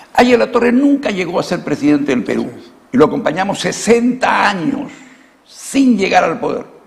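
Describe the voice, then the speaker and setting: With noticeable background noise behind him, a man speaks at a moderate pace in an extremely high pitch, his intonation lively. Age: 70s. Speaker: former congressman, politician. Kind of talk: political interview.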